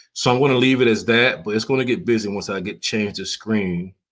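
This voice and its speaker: At a moderate pace, a man with an American accent uses a plain, everyday voice with fairly even intonation on a very clean recording with a silent background. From Florida. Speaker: photographer and live streamer. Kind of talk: casual live stream chat. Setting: live stream with screen sharing. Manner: relaxed, conversational with fillers.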